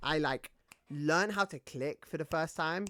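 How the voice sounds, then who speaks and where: A woman with a British accent and a very deep, low pitch, in a dry, close sound with no echo. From Britain. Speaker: gaming streamer. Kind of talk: casual live-stream gaming chat.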